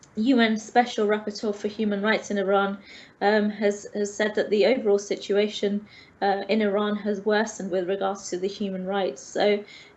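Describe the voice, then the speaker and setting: Monotone, flat intonation marks a woman speaking at medium pitch and a moderate pace with a London accent. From England, London. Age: 30s. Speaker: teacher. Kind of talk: online interview. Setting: online call. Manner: hesitant, many fillers.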